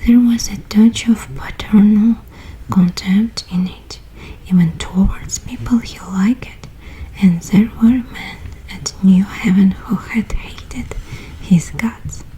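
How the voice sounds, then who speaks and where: A soft-spoken woman whispering at a very slow pace, with noticeable background noise. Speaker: ASMR artist. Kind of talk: bedtime book reading. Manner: whispered, soft.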